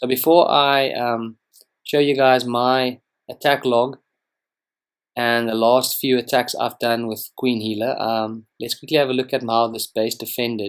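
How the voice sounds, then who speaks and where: A man's medium-pitched, flat monotone with a South African accent at a fairly slow pace, on a very clean recording with a silent background. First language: Afrikaans. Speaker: gaming youtuber. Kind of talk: gameplay commentary. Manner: casual, hesitant with fillers.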